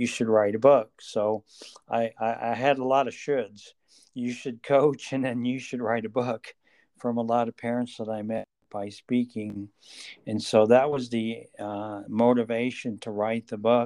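A man at medium pitch, fairly slow and monotone, with a dark, mellow tone, a dry, close sound with no echo, and a quiet background. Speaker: author and mental health coach. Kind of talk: interview. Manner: halting, many repeated words.

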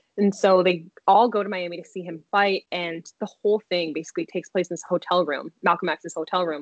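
A woman's plain, everyday voice with an American accent, medium pitch, ordinary pitch variation and a moderate pace. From US Mid-Atlantic (Silver Spring, Maryland). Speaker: PhD student, psychology researcher. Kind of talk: casual interview.

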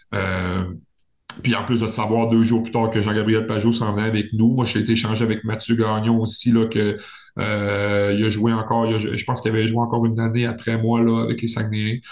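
With audible room echo, a man at medium pitch talks fairly quickly in a flat monotone. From Quebec, Saguenay region. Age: 30s. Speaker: professional hockey player. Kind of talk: casual interview.

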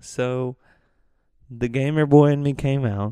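This man is soft-spoken. His tone is dark and mellow. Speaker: solo podcast host. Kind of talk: casual monologue. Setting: living room at home. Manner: hesitant, many fillers.

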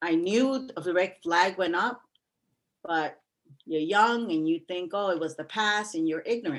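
In a New York accent, a woman speaks at a fairly slow pace with ordinary pitch variation. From New York City (Bronx). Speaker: retired teacher. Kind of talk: personal testimony in interview.

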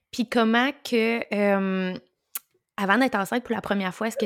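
A woman with a Quebec accent speaks with fairly even intonation in a very clean recording with a silent background, the sound dry and close with no echo. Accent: Québécois French. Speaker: podcast host, birth doula. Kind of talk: casual interview chat.

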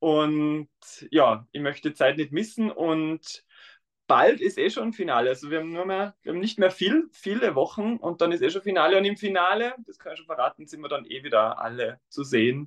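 A man with an Austrian accent speaks at a moderate pace. His voice sits high for a man, with lively intonation. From Tyrol, Austria. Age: 20s. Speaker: dancer and primary school teacher. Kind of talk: interview.

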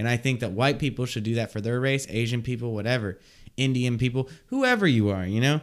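Fairly even intonation in an ordinary speaking voice. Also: man, medium pitch for a man. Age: 20s. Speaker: podcast co-host. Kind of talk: casual chat.

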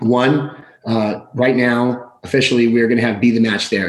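This man's voice sits at a medium pitch and moves at a fairly quick pace. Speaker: podcast host and community volunteer. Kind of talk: casual chat. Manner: loud, hyper, energetic; loud.

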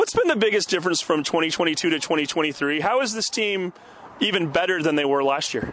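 With an American accent, a man with a high pitch talks at a moderate pace with ordinary pitch variation, over noticeable background noise. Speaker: sports radio co-host. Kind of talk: casual sports talk and interviews.

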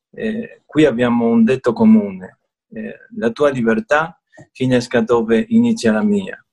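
Speaking fairly slowly, a man talks with a Spanish accent. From Argentina. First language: Spanish (speaking Italian). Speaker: merchant. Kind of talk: online interview. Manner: halting, hesitant.

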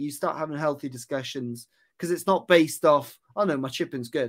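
A man with a Welsh accent, fairly quick pace and ordinary pitch variation, on a very clean recording with a silent background. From West Wales. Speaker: golf putting coach. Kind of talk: casual chat.

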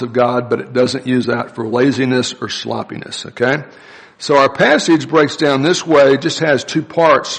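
A man keeps fairly even intonation and a moderate pace while noticeable background noise carries on behind him. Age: 60s. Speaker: pastor. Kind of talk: sermon. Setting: church.

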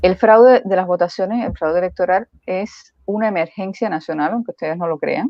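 Her voice is a plain, everyday voice, as a woman talks at a medium pitch and fairly quick pace with ordinary pitch variation and hardly any pauses. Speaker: co-host commentator. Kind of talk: casual chat. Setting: live stream.

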